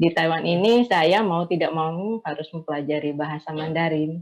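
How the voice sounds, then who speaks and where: Speaking at a fairly quick pace, a woman uses a fairly low pitch with ordinary pitch variation. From Indonesia, Javanese from Blitar, raised partly in Sumatra. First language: Javanese (speaking Indonesian). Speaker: migrant domestic worker and writer. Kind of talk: online panel discussion.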